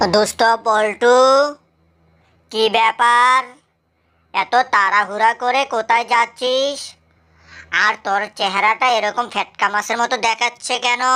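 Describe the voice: In a cartoonish character voice, a woman speaks fairly slowly with a fairly high pitch and monotone, flat intonation, recorded very cleanly against a silent background. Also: very even loudness.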